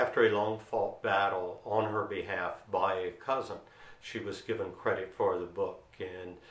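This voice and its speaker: A man with a Delaware accent speaks amid audible room echo. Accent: local Sussex County Delaware. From Delaware, Sussex County (Delmarva Peninsula). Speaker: author and lawyer. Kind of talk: direct-to-camera storytelling.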